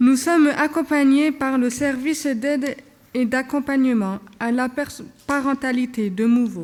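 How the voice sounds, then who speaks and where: A woman speaks in a high voice at a fairly slow pace. Her pitch varies in an ordinary way. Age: 20s. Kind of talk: prepared speech read at a conference. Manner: halting.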